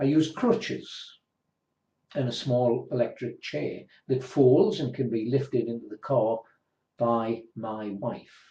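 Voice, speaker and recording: Speaking at a very slow pace, the man has a medium pitch, a somewhat breathy quality and ordinary pitch variation. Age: 60s. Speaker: person with a rare disease sharing their story. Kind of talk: personal testimony.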